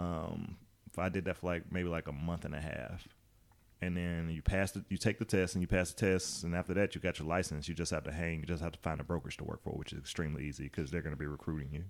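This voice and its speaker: A man with an Alabama accent talks at a very fast pace in a very deep, low pitch with vocal fry. His intonation is fairly even, and the recording is very clean with a silent background. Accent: Southern US (Alabama). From US South, Birmingham, Alabama. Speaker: realtor. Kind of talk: casual chat.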